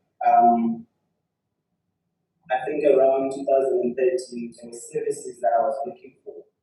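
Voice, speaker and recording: With music playing behind him, a man talks at a moderate speed. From Zimbabwe. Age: 30s. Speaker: activist, founder of a migrant support organization. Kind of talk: reading a prepared speech.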